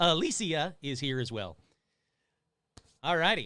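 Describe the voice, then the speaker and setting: A man's fairly high voice with vocal fry, a bright, sharp tone, and very wide pitch swings. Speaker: live call-in show host. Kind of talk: live call-in show chat. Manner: casual, joking.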